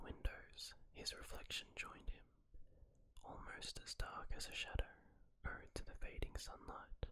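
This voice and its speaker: A soft-spoken man whispering at a moderate pace over light background noise. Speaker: story narrator. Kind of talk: story narration. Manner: soft whispered story reading. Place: home room. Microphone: studio mic.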